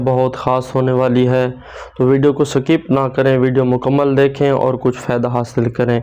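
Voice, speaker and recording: There is noticeable noise in the background. A man speaks at a medium pitch with monotone, flat intonation. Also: very even loudness. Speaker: Islamic preacher / religious video host. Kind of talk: religious sermon-style talk to camera.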